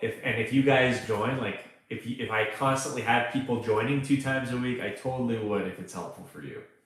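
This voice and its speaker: Someone with a Canadian accent talks at a moderate pace, with ordinary pitch variation. Audible room echo surrounds the voice. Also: man. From Canada. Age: 30s. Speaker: online freelancing coach. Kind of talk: live stream Q&A. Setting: live stream. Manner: casual, conversational with fillers.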